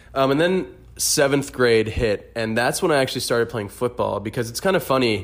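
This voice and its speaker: A man with an American accent, medium-pitched, at a fairly quick pace with ordinary pitch variation. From Florida (Orlando). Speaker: fitness enthusiast, host's boyfriend. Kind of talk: casual chat. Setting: echoey room on vacation. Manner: animated.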